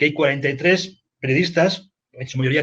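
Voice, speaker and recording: A fairly quick-paced man's voice, fairly even in intonation. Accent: Spanish. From Spain. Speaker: news agency editor. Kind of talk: panel discussion.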